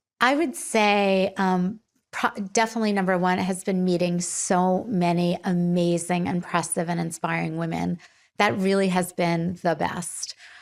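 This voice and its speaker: In a very clean recording with a silent background, a woman with a normal speaking voice talks at a fairly slow pace and medium pitch, with very even loudness and fairly even intonation. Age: 60s. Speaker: podcast host and beauty entrepreneur. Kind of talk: solo podcast monologue. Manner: candid, reflective with frequent fillers.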